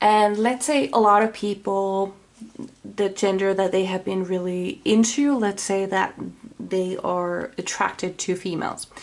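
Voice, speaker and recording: A woman's medium-pitched voice in a Finnish accent, fairly slow, with ordinary pitch variation. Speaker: tarot reader. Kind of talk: tarot reading. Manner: halting; casual.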